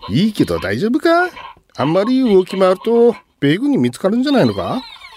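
In a put-on character voice, a man speaks fairly quickly at a high pitch, his pitch swinging very widely, with a slightly mellow tone and a slightly husky edge.

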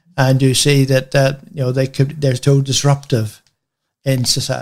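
Somewhat breathy and fairly high-pitched, a man talks at a moderate pace in a monotone, flat intonation. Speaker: radio host. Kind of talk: casual chat.

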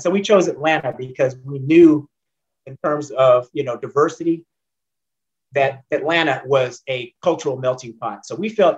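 A man with an American accent speaks at a fairly high pitch. His voice is somewhat breathy, with ordinary pitch variation. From Northern California (San Jose, Oakland). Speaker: former racing driver and engineer. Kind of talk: interview.

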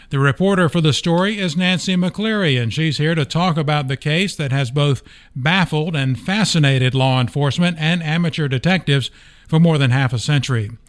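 In a very clean recording with a silent background, a man talks at a moderate pace in a normal speaking voice, fairly high-pitched with ordinary pitch variation. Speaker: newspaper podcast host. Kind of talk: news-style podcast hosting and interview. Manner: formal, clear, newsreader-like.

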